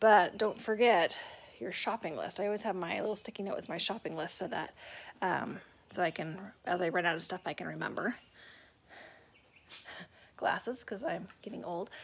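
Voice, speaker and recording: With light noise behind her, a woman speaks at a moderate pace with vocal fry and ordinary pitch variation. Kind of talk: casual vlog tour. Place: home room. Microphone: phone near.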